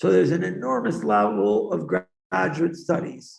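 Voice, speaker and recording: With a Boston accent, a man speaks at a fairly slow pace. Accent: Boston American English. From US, Boston. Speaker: education advisor. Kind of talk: talk to students.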